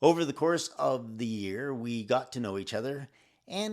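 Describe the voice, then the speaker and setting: In a very clean recording with a silent background, a man speaks at a medium pitch and a moderate pace with ordinary pitch variation and a plain, everyday voice. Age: 60s. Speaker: podcast host. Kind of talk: scripted introduction.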